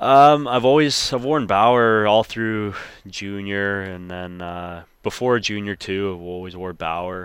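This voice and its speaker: Speaking very slowly, a man with a western Canadian accent has a fairly low pitch and ordinary pitch variation. His loudness swings widely. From British Columbia, Canada (Langley). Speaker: professional hockey goaltender. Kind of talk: interview.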